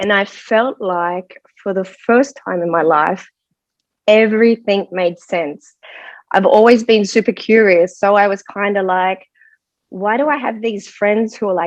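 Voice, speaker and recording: In a dry, close recording with no echo, a woman with an American accent and medium pitch speaks at a fairly slow pace with ordinary pitch variation. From Australia. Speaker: medical intuitive. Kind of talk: interview, personal story.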